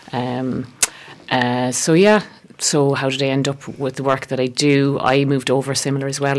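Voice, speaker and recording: A woman with an Irish accent speaks at a moderate pace in a very deep, low pitch. Her intonation is monotone and flat, and there is noticeable background noise. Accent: Irish (Galway). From West Galway, Ireland. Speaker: herbalist and therapist. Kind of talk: radio interview.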